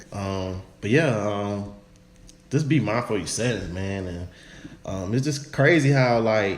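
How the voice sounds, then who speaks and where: Amid audible room echo, a man speaks at a fairly slow pace in a fairly low voice with ordinary pitch variation. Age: young. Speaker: podcast co-host. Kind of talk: casual chat. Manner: soft-spoken.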